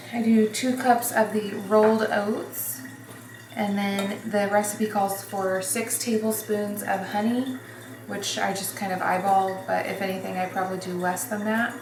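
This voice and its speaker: Amid noticeable background noise and audible room echo, a woman talks fairly slowly at a medium pitch with fairly even intonation. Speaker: vlogger and hairdresser. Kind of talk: casual vlog tutorial. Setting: at home, kitchen. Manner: casual with many fillers; whispering.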